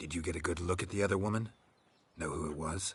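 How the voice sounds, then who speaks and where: A man puts on a character voice with a very deep, low pitch. He rattles along at a very fast pace. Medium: video game. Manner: terse, clipped, flat.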